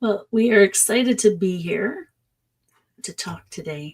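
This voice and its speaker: Putting on a raspy character voice, a woman speaks at a moderate pace and medium pitch with big swings in loudness. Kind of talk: laid-back. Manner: unexcited.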